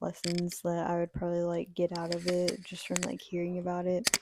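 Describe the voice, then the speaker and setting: A woman speaks quietly at a moderate pace with a fairly low pitch. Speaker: book reviewer. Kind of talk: casual chat.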